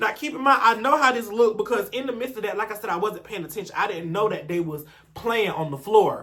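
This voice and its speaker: At a very fast pace, a man talks in a raised, projected voice with an animated tone. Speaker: youtuber telling personal stories, former school staff. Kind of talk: story time monologue. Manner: stuttering at times.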